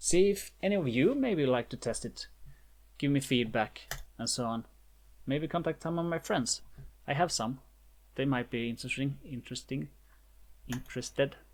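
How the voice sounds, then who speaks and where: On a very clean recording with a silent background, the speaker has a non-native accent, keeps a moderate pace and leaves long, frequent pauses. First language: not English. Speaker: indie game developer. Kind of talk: tutorial. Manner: halting.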